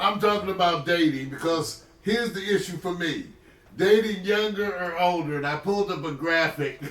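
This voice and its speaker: A man talks at a moderate pace in a high voice, with ordinary pitch variation. Noticeable background noise and audible room echo fill the recording. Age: 60s. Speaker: livestream host, retired physician. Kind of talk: casual chat. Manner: animated.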